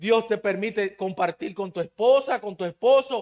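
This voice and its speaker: A man with a Dominican accent, high-pitched, with lively intonation, a fairly slow pace and a dry, close sound with no echo. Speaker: preacher. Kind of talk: sermon. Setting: church.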